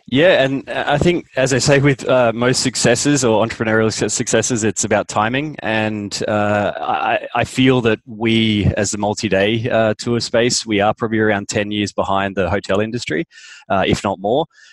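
With an Australian accent, a man speaks at a moderate pace with a medium pitch, ordinary pitch variation, very even loudness and hardly any pauses. The sound is dry and close with no echo, though noticeable background noise is present. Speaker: startup founder and CEO. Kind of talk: interview.

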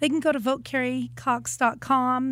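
Recorded very cleanly with a silent background, a woman has an unremarkable speaking voice, fairly high in pitch, with fairly even intonation. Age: 50s. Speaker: city council candidate and kindergarten teacher. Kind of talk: interview.

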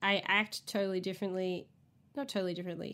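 A woman with an American accent, in a very clean recording against a silent background. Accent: Australian, slight, occasional American R's. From Australia. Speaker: podcast co-host. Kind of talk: casual chat.

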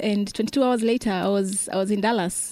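A woman with a Kenyan accent and a fairly high pitch at a moderate pace, in a very clean recording with a silent background. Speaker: gym member with spinal cord injury, wheelchair user. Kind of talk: interview.

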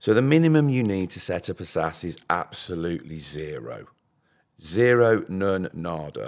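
A man with a Birmingham accent and a very deep, low pitch speaks at a moderate pace with very wide pitch swings, recorded very cleanly against a silent background. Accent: Brummie. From Birmingham, England. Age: 50s. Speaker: pension scheme administrator. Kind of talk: podcast interview. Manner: animated.

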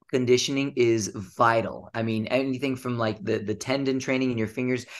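An unremarkable speaking voice moves at a moderate pace with fairly even intonation. The background is quiet. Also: man. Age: 30s. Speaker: ninja athlete and author. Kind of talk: interview.

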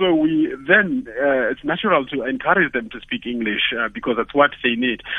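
Pitch swings very widely at a moderate pace, with hardly any pauses. There is noticeable background noise behind the voice. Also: man. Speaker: university academic and writer. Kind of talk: radio interview discussion. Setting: phone call.

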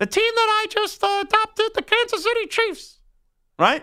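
Using a squeaky put-on character voice, a woman talks at an extremely high pitch and a moderate pace, her loudness very even.

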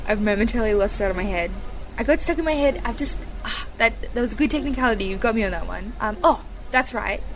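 Over noticeable background noise, a woman talks at a very fast pace. Her voice is fairly high-pitched with lively intonation. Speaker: radio host. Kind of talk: casual interview. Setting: backstage, small portable microphone. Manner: enthusiastic.

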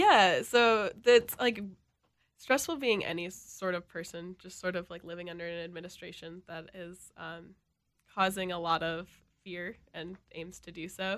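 With an American accent and an unremarkable speaking voice, a woman talks at a moderate pace in a fairly low pitch, showing ordinary pitch variation and big swings in loudness. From Minnesota, Elk River. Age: 20s. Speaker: college radio music director. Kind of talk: radio interview.

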